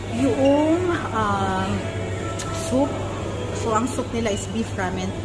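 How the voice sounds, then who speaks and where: Music can be heard behind the voice. The speaker is a woman. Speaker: vlogger. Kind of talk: casual vlog chat, food tour. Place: cafe. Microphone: phone near.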